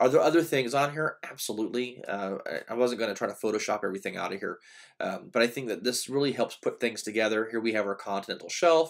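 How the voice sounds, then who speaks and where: A medium-pitched man at a very fast pace, with ordinary pitch variation, in a very clean recording with a silent background. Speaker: community college professor. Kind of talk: lecture. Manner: hesitant, many fillers.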